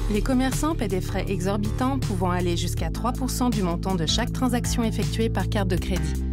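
Over clear background music, a woman speaks at a moderate pace in a dry sound with no echo. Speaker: voice actor. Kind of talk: corporate narration, explainer voice-over for an advocacy ad. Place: booth. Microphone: studio mic.

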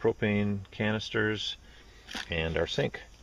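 Against noticeable background noise, a man speaks with fairly even intonation in a dry sound with no echo. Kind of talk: product tour narration. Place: open country. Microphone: phone near.

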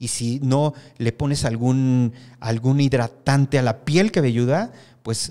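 A man speaks at a medium pitch with a dark, mellow tone. The background is quiet. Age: 50s. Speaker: hair stylist and salon owner; guest. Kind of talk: interview. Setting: studio. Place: studio. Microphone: studio mic.

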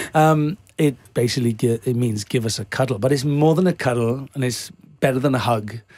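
With a Welsh accent, a man talks at a fairly quick pace and ordinary pitch variation. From Wales. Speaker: actor. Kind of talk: interview answer. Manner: casual, playful. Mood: jovial, laughing often. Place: studio. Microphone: studio mic.

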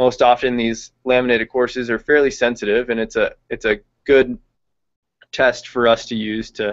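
Against a quiet background, a man with an American accent speaks at a moderate pace in a monotone, flat intonation. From California, Visalia; California. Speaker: veterinary intern; presenter. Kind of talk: webinar lecture. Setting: online video hangout. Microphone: video call.

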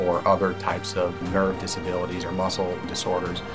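Moderate pace over clear background music. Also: man. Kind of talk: interview answer. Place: office. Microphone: lapel.

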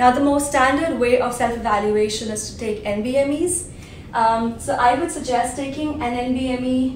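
A woman with a high pitch speaks at a fairly slow pace with ordinary pitch variation and big swings in loudness, amid audible room echo and light background noise. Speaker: exam prep vlogger. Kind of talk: tutorial. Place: home room.

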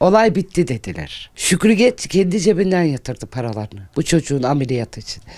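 A woman's very deep, low, dark and mellow voice with vocal fry and very wide pitch swings, at a fairly quick pace with hardly any pauses, in a very clean recording over a silent background. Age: 60s. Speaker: grandmother of injured worker. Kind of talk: interview testimony. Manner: emphatic.

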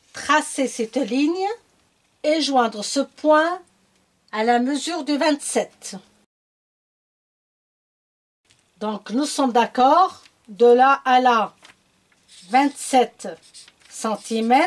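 Over a quiet background, a woman speaks in a high pitch with ordinary pitch variation. Her pace is very slow, with long, frequent pauses. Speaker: sewing tutor. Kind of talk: tutorial.

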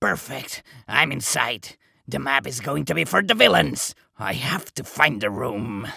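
Cartoonish character voice, low in pitch, with very wide pitch swings at a moderate pace. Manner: eager, indignant.

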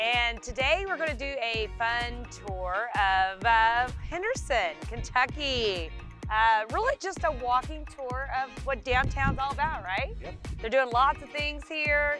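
A woman at a very slow pace, with clear music in the background and a dry sound with no echo. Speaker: real estate agent host. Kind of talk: casual vlog chat. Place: street.

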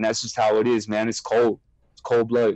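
A man with a Southern California accent, recorded dry with no echo against a quiet background. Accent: Southern Californian English. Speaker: former prisoner. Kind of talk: interview. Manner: halting. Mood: candid, serious. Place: home room. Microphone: earbuds.

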